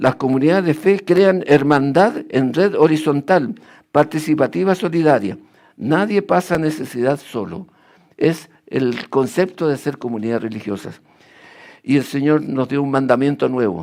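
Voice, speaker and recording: A man talks at a fairly slow pace in a fairly high pitch, with very wide pitch swings. The recording is very clean, with a silent background. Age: 80s+. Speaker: lay preacher. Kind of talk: sermon.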